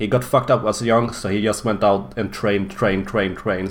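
A man talks at a fairly low pitch with vocal fry. His pitch variation is ordinary. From Sweden. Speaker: gaming podcast host. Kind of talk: casual chat.

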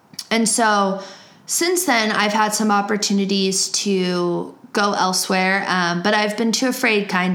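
With a medium pitch and fairly even intonation, a woman in an American accent speaks amid audible room echo. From US Midwest (Cleveland, Ohio). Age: 20s. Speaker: podcast host. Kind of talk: casual monologue. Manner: casual, many fillers.

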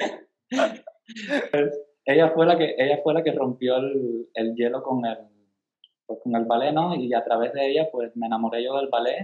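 Fairly high in pitch, a man speaks fairly slowly in a plain, everyday voice with ordinary pitch variation. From Cuba, Caibarién. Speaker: ballet dancer. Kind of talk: casual interview.

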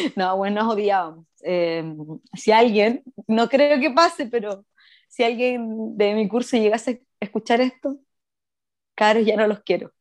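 Against a quiet background, a woman with an ordinary speaking voice talks at a fairly slow pace and fairly high pitch, with ordinary pitch variation. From Chile, Puerto Montt. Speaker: podcast co-host. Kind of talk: casual chat.

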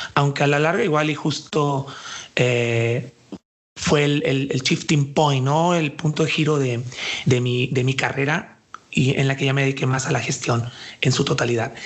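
A man with a plain, everyday voice speaks at a fairly high pitch and a fairly slow pace. His loudness stays very even and his intonation fairly even. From Mexico, Jalisco. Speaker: dance artist and cultural manager. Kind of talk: interview.

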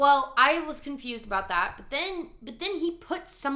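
A woman's high, raised and projected voice, bright and sharp in tone, at a moderate pace. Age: 20s. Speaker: podcast co-host. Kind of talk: casual chat.

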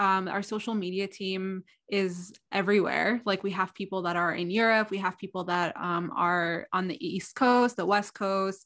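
Against a quiet background, a woman with an American accent speaks at a moderate pace and medium pitch, using fairly even intonation and hardly any pauses. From Egypt (Alexandria) and Southern California. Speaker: student magazine social media manager. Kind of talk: interview. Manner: halting, many fillers.

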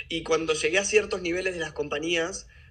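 Rapid-fire at a very fast pace, a man with a Rioplatense accent speaks at a fairly high pitch with fairly even intonation. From Buenos Aires, Argentina. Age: 30s. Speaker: personal development workshop leader. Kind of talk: interview conversation.

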